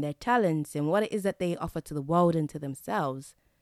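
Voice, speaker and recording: On a very clean, dry, close recording with a silent background, a woman with an English accent talks at a very fast pace, her very deep, low voice full of lively intonation. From England. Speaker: podcast host. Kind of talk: solo monologue.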